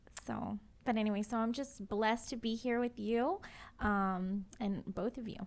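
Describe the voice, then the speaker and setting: A woman's fairly high voice, fairly even in intonation, at a moderate pace, an unremarkable speaking voice. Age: 40s. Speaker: singer and dancer. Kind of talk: casual interview chat.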